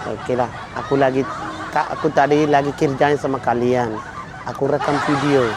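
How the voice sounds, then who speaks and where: Speaking fairly quickly but with long, frequent pauses, a man with a Somali accent talks in a fairly high pitch and a flat, monotone delivery over noticeable background noise. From Somalia. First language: Somali (speaking Indonesian). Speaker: YouTube prankster. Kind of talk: prank vlog chat. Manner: halting.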